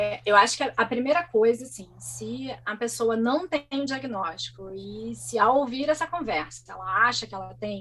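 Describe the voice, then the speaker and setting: With music in the background, a woman talks at a moderate pace with hardly any pauses and big swings in loudness. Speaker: guest speaking about living with ADHD. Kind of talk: interview conversation. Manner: animated.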